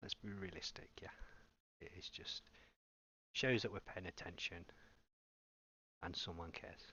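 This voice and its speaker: A man whispering, with an English accent. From England. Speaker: gaming streamer. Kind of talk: live gameplay commentary.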